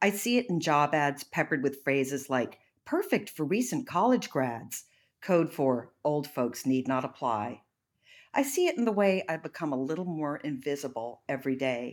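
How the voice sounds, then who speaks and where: In a very clean recording with a silent background, a woman with a very deep, low pitch talks at a moderate pace with lively intonation. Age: 60s. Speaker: essayist. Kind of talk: scripted narration.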